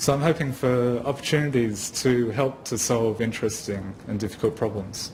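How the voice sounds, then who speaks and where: Amid noticeable background noise, a man talks at medium pitch with an Australian accent. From Australia, Wagga. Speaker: geoscience graduate. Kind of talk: presentation.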